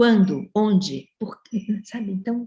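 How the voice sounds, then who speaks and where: A woman's somewhat breathy voice, dark and mellow in tone, with fairly even intonation. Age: 70s. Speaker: professor. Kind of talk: panel discussion.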